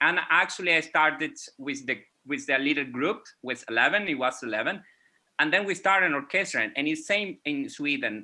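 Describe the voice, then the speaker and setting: Against a quiet background, a man with a Venezuelan accent speaks at a moderate pace with a fairly high pitch, a bright, sharp tone and lively intonation. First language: Spanish. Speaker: music educator. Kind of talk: panel discussion. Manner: halting.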